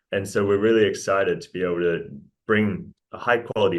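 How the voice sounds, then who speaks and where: A man with a New Zealand accent and a fairly low voice speaks at a very fast pace with fairly even intonation. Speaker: mining company executive. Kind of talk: interview presentation.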